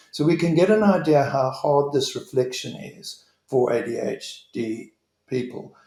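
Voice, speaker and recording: A man's fairly high voice has a dark, mellow tone, a somewhat breathy quality, and lively intonation. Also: fairly slow pace. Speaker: leadership trainer. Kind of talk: online presentation.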